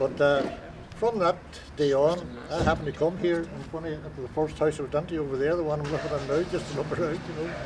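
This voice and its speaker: Man with a Donegal accent, fairly high-pitched, speaking at a very fast pace with fairly even intonation, amid noticeable background noise. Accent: Donegal Irish. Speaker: local resident interviewee. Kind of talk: casual reminiscing chat. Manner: halting, many fillers.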